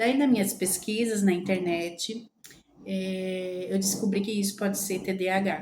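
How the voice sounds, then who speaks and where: A woman's somewhat breathy, medium-pitched voice, dark and mellow in tone, with audible room echo. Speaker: lifestyle vlogger. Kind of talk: casual vlog talk. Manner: halting, many fillers.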